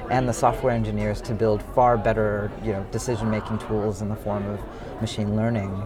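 With an American accent, a man speaks in a fairly low voice, monotone and flat. Audible room echo and crowd noise fill the background. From US, San Francisco Bay Area. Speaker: venture capitalist and startup founder. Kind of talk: interview. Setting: conference.

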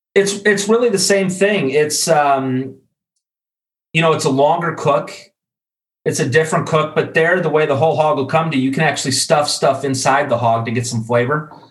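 Audible room echo surrounds a fairly high-pitched male voice. The man sounds somewhat breathy. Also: ordinary pitch variation, moderate pace. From US Midwest, Chicago. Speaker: grilling expert and e-commerce director. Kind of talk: casual interview.

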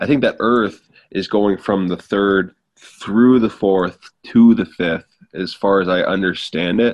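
Speaking in a Canadian accent, a man uses a plain, everyday voice with fairly low pitch, fairly even intonation and a fairly slow pace. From Ontario, Canada. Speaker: spiritual content creator. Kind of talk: casual chat.

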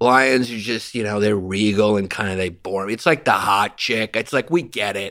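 A man with a New York accent and a bright, sharp tone speaks at a fairly low pitch and moderate pace with ordinary pitch variation and hardly any pauses, in a very clean recording with a silent background. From New York, Greek-American family. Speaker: comedian. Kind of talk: casual chat. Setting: in-person studio. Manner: loud; animated.

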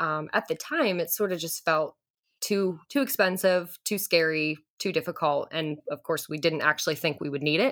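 A woman talks at a moderate pace with a fairly low pitch. Hers is an ordinary speaking voice. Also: ordinary pitch variation. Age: 20s. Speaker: infertility patient. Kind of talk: interview.

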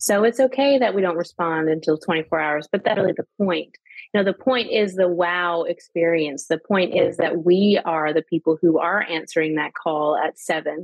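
A woman with a plain, everyday voice and fairly low pitch, at a moderate pace with hardly any pauses. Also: ordinary pitch variation. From Canada. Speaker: sales coach. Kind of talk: casual chat.

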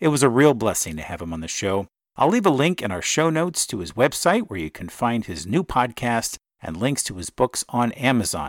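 A man's voice with vocal fry and very wide pitch swings, dry and close with no echo. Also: medium pitch for a man. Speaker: podcast host. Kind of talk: interview, casual conversation.

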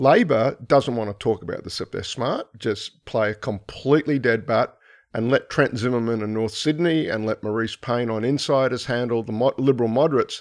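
Speaking with hardly any pauses at a moderate pace, a man with an Australian accent has medium pitch and ordinary pitch variation, in a dry, close sound with no echo and a quiet background. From Brisbane, Australia. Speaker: political scientist. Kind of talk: panel discussion.

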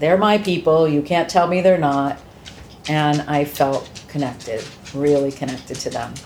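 A woman with an American accent, very deep and low in pitch, at a moderate pace with ordinary pitch variation, over noticeable background noise. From Massachusetts, US. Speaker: adoptee sharing her story. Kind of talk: interview testimony.

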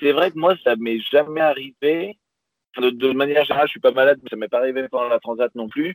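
A man talks at a very fast pace with a fairly high pitch and ordinary pitch variation. His loudness swings widely. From southern France, Pyrenees. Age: 20s. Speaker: sailor, YouTuber. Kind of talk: interview.

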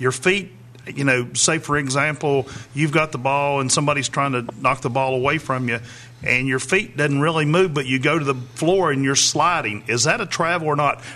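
Keeping a very even loudness, a man with an unremarkable speaking voice talks at a moderate pace with ordinary pitch variation. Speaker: radio sports co-host. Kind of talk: live radio sports talk, reading score updates. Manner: brisk, rattling off scores.

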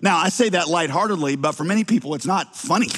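Lively intonation marks this voice with a slight Southern US accent. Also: man. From US South. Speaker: pastor. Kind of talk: sermon.

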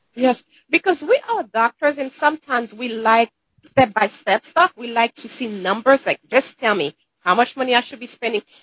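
A woman's high voice in a Caribbean accent, at a moderate pace, with lively intonation and big swings in loudness. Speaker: dentist and author. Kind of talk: casual interview chat.

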